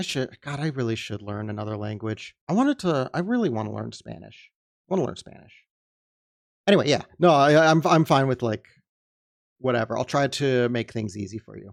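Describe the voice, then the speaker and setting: Recorded very cleanly against a silent background, a man at medium pitch speaks with lively intonation and big swings in loudness, the sound dry and close with no echo. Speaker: streamer. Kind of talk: casual chat. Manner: deliberately slower.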